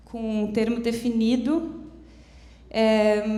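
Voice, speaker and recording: A woman talks very slowly in a fairly high voice with a dark, mellow tone. Her intonation stays fairly even, and the room echo is audible. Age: 30s. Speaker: foundation representative, seminar speaker. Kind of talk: conference talk. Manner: halting, many hesitations.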